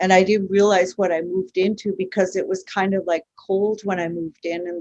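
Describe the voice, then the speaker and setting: In a dry, close recording with no echo, a woman talks with monotone, flat intonation. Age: 60s. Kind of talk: panel discussion. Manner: halting, many fillers.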